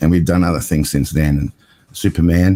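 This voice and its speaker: A man with an Australian accent speaks with a very deep, low pitch and a dark, mellow tone. The sound is dry and close, with no echo. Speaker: cinematographer and TV producer. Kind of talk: casual interview chat.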